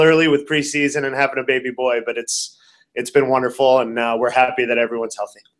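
This man has an ordinary speaking voice, talking at a fairly quick pace with fairly even intonation against a quiet background. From Canada, Toronto. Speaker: college volleyball coach. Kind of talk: interview. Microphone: webcam.

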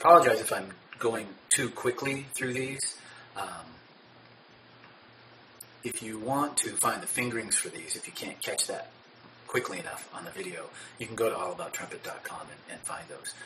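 A man talks at a moderate pace, leaving long, frequent pauses. His loudness swings widely over light background noise. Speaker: trumpet teacher. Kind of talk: tutorial. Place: home room. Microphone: phone near.

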